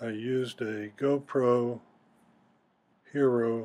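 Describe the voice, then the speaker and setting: The man's pitch is medium. His intonation is monotone and flat. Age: 70s. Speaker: hiker narrating his climb video. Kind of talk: voiceover narration.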